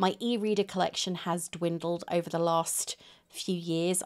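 Speaking moderately fast, a woman talks with a British accent. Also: quiet background. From Britain. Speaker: booktuber. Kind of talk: casual vlog monologue. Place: home room. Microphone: phone near.

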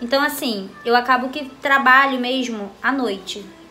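A woman speaks in a high voice while faint music plays in the background. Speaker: home vlogger. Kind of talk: casual vlog chat. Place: home room. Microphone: phone near.

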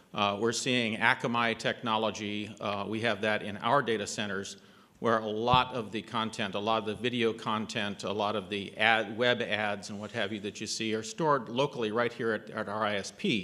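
Bright and sharp in tone yet fairly low in pitch, a man talks at a moderate pace in a monotone, flat way with hardly any pauses. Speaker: network engineer; panelist. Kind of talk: panel discussion. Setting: stage with audience. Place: hall. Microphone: podium.

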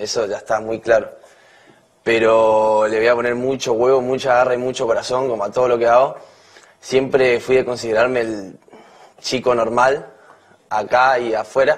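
A man speaks at a moderate pace and a medium pitch, his flat, monotone delivery broken by long, frequent pauses against a quiet background. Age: 20s. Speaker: reality show contestant. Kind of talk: campaign speech. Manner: halting. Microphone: podium.

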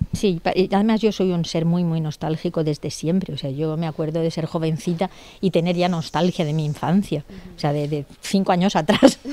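A woman's fairly low, dark, mellow voice with ordinary pitch variation, dry with no echo. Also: moderate pace. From Spain, Elda (Alicante, Valencia region). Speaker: novelist. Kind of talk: interview. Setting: bookshop. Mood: nostalgic, warm. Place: shop. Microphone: handheld.

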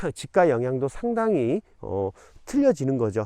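Very wide pitch swings mark this man's dark, mellow voice as he speaks at a fairly slow pace. The background is quiet. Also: dry, close sound with no echo. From South Jeolla, South Korea (Haenam). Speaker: real estate YouTuber. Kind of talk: on-location explainer video. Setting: outdoors on farmland. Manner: many filler hesitations.

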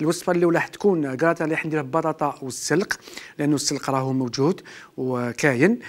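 This man talks at a fairly quick pace. His pitch varies in an ordinary way. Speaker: TV chef host. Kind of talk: cooking show tutorial. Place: studio.

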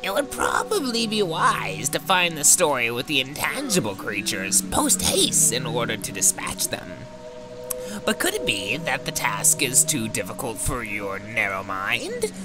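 A man in a put-on character voice, fairly high in pitch, at a moderate pace over loud music in the background. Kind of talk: theatrical old-fashioned speech. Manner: pompous, archaic, condescending.

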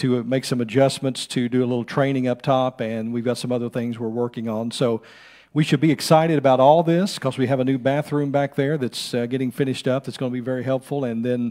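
A man's very fast delivery with fairly even intonation against a quiet background. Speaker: pastor giving announcements. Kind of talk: church announcements. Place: church. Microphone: podium.

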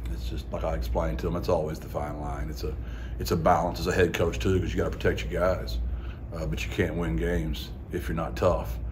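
Noticeable background noise fills the clip. A man talks at a fairly quick pace. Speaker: head football coach. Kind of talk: interview answer. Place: hall.

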